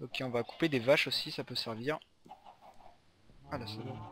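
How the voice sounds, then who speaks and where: A man's voice with ordinary pitch variation over music in the background. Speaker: gaming youtuber. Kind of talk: let's play commentary. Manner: fast; casual, halting.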